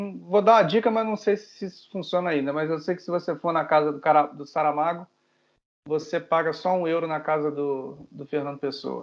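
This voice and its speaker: A man with a Brazilian accent speaks at a moderate pace in a fairly high pitch, with ordinary pitch variation and big swings in loudness. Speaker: podcast co-host. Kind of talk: casual chat.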